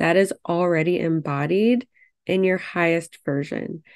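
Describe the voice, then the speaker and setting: A woman with a plain, everyday voice, fairly low in pitch, fairly even in intonation and fairly slow in pace, against a quiet background. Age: 30s. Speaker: podcast host, pharmacist and fertility coach. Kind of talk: solo podcast monologue. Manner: casual, reflective.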